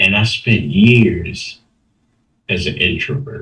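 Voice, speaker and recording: A man with an American accent speaks in a bright, sharp tone with vocal fry. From Baltimore, Maryland, US. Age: 60s. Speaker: interview guest telling life story. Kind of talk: testimony interview.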